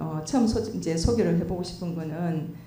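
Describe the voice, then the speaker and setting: Lively intonation comes through amid noticeable background noise and audible room echo. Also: woman. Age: 60s. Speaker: church deaconess. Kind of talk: testimony.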